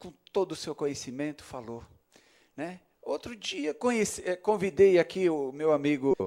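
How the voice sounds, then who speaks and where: A man speaks with lively intonation and a dark, mellow tone, his loudness swinging widely. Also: fairly high pitch for a man, moderate pace. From São Paulo state, Osasco. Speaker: city councillor. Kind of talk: ceremonial speech. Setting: council chamber. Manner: halting.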